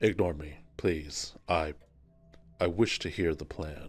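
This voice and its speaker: Over faint music in the background, a man puts on a character voice with a very deep, low pitch, fairly even intonation, a fairly slow pace and big swings in loudness. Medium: actual play. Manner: formal, stilted, earnest.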